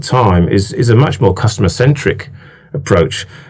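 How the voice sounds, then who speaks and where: A man talks with a British accent. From England. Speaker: laboratory manager. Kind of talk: interview. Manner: hesitant, many fillers.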